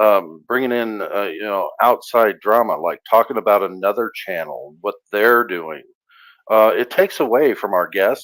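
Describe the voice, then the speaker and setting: A man's fairly low voice at a moderate pace, with ordinary pitch variation and big swings in loudness, on a very clean recording with a silent background. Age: 60s. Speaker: livestream channel host. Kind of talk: casual chat. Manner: halting, many fillers.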